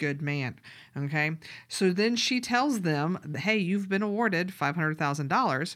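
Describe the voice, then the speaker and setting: With a Southern US accent, a woman speaks at a moderate pace with lively intonation. Her voice is fairly low in pitch. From US South. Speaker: podcast co-host and grant writer. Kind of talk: casual chat.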